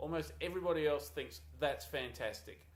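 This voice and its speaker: Fairly slow speech from a man with an Australian accent. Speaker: university lecturer. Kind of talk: course introduction video. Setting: small office. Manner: halting, many fillers.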